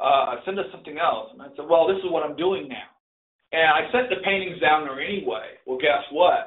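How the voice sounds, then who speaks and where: A man with an American accent talks at a moderate pace in a high voice. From US South, rural North Florida. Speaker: painter. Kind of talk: interview. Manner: halting, with many fillers.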